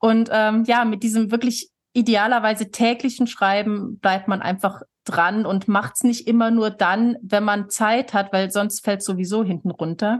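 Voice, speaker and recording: This woman has an unremarkable speaking voice, fairly high in pitch, delivered at a fairly slow pace with fairly even intonation and very even loudness. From Switzerland, near Lake Thun, moved to Germany at 13. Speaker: author and association chair. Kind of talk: casual interview.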